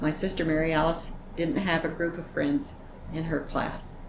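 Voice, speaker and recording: Audible room echo surrounds the speaker, a woman. Her pitch is fairly low, her pace fairly slow. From US West, Utah (Vernal). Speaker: elderly woman telling her life story. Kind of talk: oral history interview. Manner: conversational, with hesitations.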